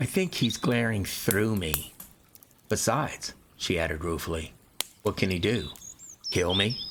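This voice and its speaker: A man speaks slowly in a fairly low pitch with lively intonation. He leaves long, frequent pauses over noticeable background noise. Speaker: amateur audiobook narrator and gaming streamer. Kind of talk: reading aloud; casual chat. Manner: occasional stutter or stammer.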